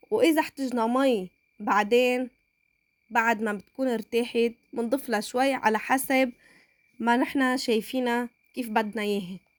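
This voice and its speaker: A woman with a Lebanese accent, high-pitched, at a fairly slow pace. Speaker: cooking channel host. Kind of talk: cooking tutorial. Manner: halting.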